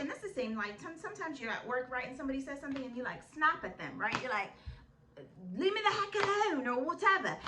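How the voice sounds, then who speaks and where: A woman speaks in an animated tone at a very fast pace, her voice raised and projected over noticeable background noise. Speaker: vlogger giving life advice. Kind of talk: casual advice vlog. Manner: loud.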